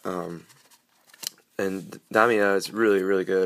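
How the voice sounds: A man speaks at a low pitch, with little pitch movement.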